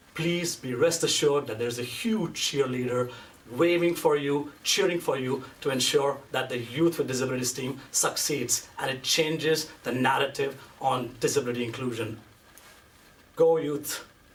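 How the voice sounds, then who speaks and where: With an animated tone and a fairly high pitch, a man speaks amid noticeable background noise and audible room echo. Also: ordinary pitch variation, moderate pace. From India. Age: 30s. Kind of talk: conference speech.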